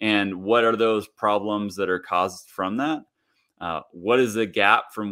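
The speaker has a Midwestern US accent. The intonation stays fairly even. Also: man. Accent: General American, Midwestern. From US Midwest (Kansas). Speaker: leadership coach, former professional golfer. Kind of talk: podcast interview.

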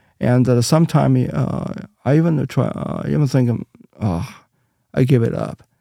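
A man with a Chinese accent speaks at a moderate pace and medium pitch, his dark, mellow tone swinging very widely in pitch, broken by long, frequent pauses. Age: 50s. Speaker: Bible translator and church minister. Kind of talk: casual interview. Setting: studio. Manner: halting, searching for words.

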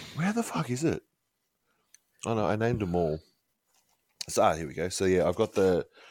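The recording of this man is very clean, with a silent background. He speaks at a fairly quick pace. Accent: Australian. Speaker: podcast co-host. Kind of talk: casual chat.

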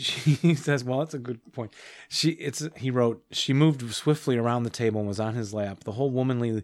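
Pitch shifts in an ordinary way throughout an unforced reading voice.

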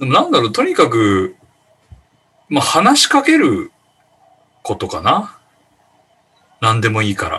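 Fairly slow, with long, frequent pauses, a man speaks. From Shikoku, Japan. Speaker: podcast panel regular. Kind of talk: casual chat.

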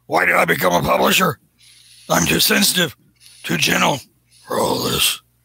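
Putting on a raspy character voice, a man talks at a moderate pace with long, frequent pauses. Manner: gruff, exasperated, whiny.

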